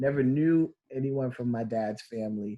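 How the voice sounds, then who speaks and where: At a fairly slow pace, a man with a plain, everyday voice speaks in a medium pitch. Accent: American. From New York. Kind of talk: interview.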